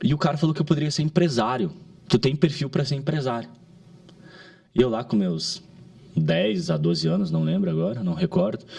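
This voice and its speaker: A man with a medium-pitched, dark, mellow voice and vocal fry speaks fairly quickly. His pitch swings very widely, and he takes long, frequent pauses. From southern Brazil, Caxias do Sul, Rio Grande do Sul. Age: 30s. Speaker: digital marketing entrepreneur. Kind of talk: podcast interview. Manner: halting, with frequent restarts.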